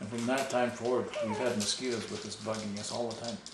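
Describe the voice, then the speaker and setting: Against noticeable background noise, a man speaks at a fairly quick pace. His medium pitch shows ordinary pitch variation. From Ojibwe First Nations, Canada. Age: old. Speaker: storyteller of traditional legends. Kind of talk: oral storytelling to family. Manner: relaxed, conversational.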